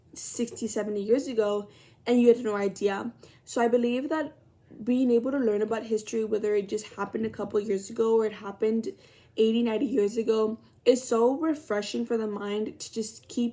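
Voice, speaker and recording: Pitched fairly high, a woman speaks with an American accent and a dark, mellow tone. Her pace is fairly quick and her intonation fairly even. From Texas, Laredo. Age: 20s. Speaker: college student. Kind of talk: self-introduction video. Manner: casual, hesitant with fillers.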